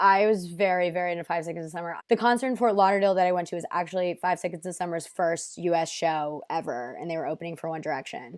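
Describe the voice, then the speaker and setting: A woman with an American accent is speaking. Her pace is very fast. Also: fairly low pitch for a woman, ordinary pitch variation, hardly any pauses. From United States. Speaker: podcast guest. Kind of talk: casual chat.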